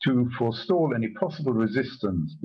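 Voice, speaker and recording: Somewhat breathy, a man talks against a quiet background. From Germany. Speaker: Holocaust survivor. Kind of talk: testimony talk. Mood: grave, measured. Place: home room. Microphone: video call.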